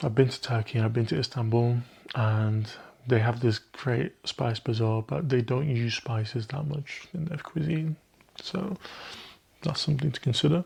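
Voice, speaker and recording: A man speaks at a moderate pace with a somewhat breathy voice, a medium pitch and ordinary pitch variation. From Egypt (Cairo). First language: Arabic. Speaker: perfume reviewer. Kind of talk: product review, casual talk to camera. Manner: casual, conversational.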